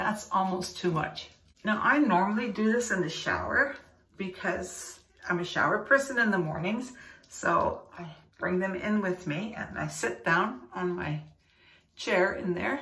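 A woman talks at a fairly slow pace, with audible echo from the room. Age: 70s. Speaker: skincare vlogger. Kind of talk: casual talk to camera. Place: bathroom. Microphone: phone near.

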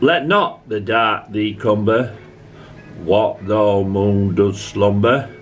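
A man with a Yorkshire accent speaks at a very slow pace in a fairly low voice, with light noise in the background. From Yorkshire, England. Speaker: amateur poetry reader. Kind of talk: poetry reading. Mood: calm, tender recital. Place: home room. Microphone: phone near.

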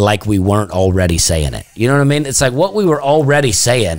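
A man at medium pitch with a Southern US accent, very wide pitch swings, and a fairly quick pace. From US South. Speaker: comedian. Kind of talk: casual chat. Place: studio. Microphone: studio mic.

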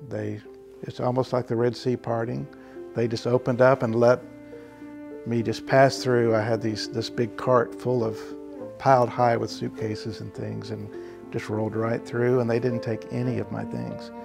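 Music plays clearly in the background as a man talks at a moderate pace. His pitch varies in an ordinary way. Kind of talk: interview answer. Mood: calm, reflective. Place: home room. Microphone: lapel.

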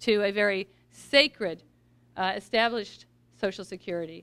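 A woman with an American accent speaks in a fairly high pitch with ordinary pitch variation. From US Midwest, Missouri. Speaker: political candidate; candidate. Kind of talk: campaign speech. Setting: event with audience. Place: hall. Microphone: podium.

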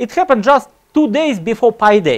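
Against a quiet background, a man speaks with a Russian accent. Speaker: computer science lecturer; lecturer. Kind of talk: conference talk. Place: hall.

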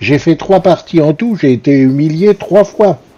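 There is noticeable background noise behind the speaker. A man talks at a very slow pace. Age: old. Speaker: gaming youtuber. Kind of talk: gameplay commentary. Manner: hesitant.

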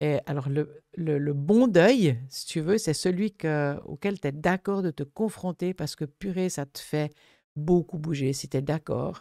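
A woman's very deep, low voice with a dark, mellow tone, very slow pace and ordinary pitch variation, dry with no echo over a quiet background. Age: 70s. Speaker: thanatologist; guest. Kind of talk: interview conversation. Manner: animated. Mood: earnest, animated. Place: studio. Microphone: studio mic.

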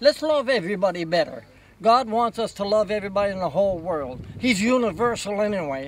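A man speaks at a high pitch with lively intonation and a moderate pace. The sound is dry with no echo, with light background noise. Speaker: folk artist, creator of a painted desert monument. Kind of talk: casual interview talk. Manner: earnest, warm. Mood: warm, earnest, gentle. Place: open country.

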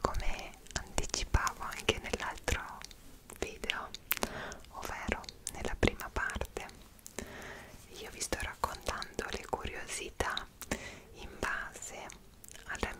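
Soft-spoken whispering moves at a very slow pace with long, frequent pauses against loud background noise. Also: woman. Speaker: travel vlogger. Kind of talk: casual vlog chat. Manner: soft close-mic whisper. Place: home room. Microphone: studio mic.

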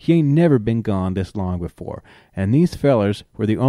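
Lively intonation colors a natural reading voice.

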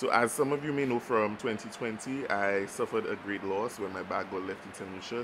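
Some faint noise runs in the background. The man's pitch rises and falls in a normal way. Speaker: travel vlogger. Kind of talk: casual vlog chat. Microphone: phone near.

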